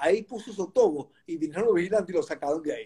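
A man is talking. His pitch is high. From Venezuela, Caracas. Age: 60s. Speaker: goalkeeper coach. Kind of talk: interview.

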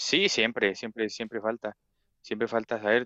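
Recorded dry and close with no echo over a quiet background, a man with a bright, sharp tone and medium pitch speaks at a moderate pace. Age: 20s. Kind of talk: casual chat.

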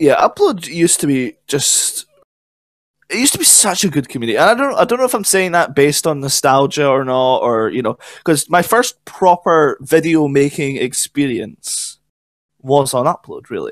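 Recorded dry and close with no echo, a man with a Scottish accent talks at a fairly high pitch with lively intonation. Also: moderate pace. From Scotland. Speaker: podcast co-host. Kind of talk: casual chat.

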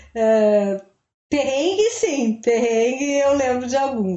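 Over noticeable background noise, a woman with a high voice talks fairly slowly with lively intonation. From interior of Rio Grande do Sul, Brazil. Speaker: literature professor. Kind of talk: podcast interview. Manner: halting.

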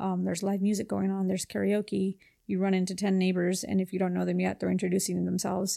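A woman speaks very fast with a Spanish accent. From Los Angeles area, California (Whittier). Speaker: real estate agent. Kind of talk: casual interview.

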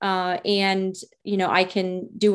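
A woman speaks at a medium pitch in a flat, monotone way with a Rhode Island accent, recorded very cleanly against a silent background. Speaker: pharmacist and sex therapist, podcast host. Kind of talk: casual monologue introduction. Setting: video recording with virtual background.

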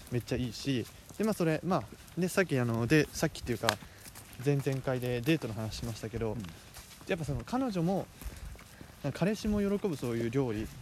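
Over noticeable background noise, a man at a medium pitch talks at a fairly quick pace with very wide pitch swings and long, frequent pauses. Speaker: student podcast host. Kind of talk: casual chat. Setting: outdoors, walking in a park.

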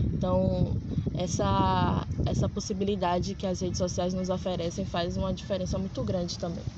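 A woman speaks at a moderate pace. Audible room echo and noticeable background noise fill the recording. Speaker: podcast host. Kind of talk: casual interview. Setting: outdoors in a public square.

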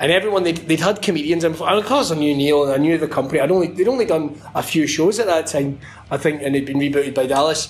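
A man with a Scottish accent speaks in an animated tone at a very fast pace with hardly any pauses. His fairly high voice has ordinary pitch variation and very even loudness. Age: 30s. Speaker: wrestling commentator. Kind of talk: casual chat.

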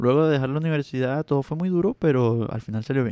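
Speaking at a very fast pace, a man with a medium-pitched, dark and mellow voice is heard in a dry, close recording with no echo. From Venezuela. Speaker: podcast host, freelance web designer. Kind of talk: solo podcast monologue. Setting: alone recording. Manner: halting, repeats words; trembling voice.

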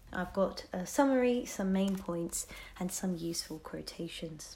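A woman with a dark, mellow, somewhat breathy tone speaks at a moderate pace and medium pitch, her intonation lively. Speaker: podcast host summarizing a book. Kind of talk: book summary narration.

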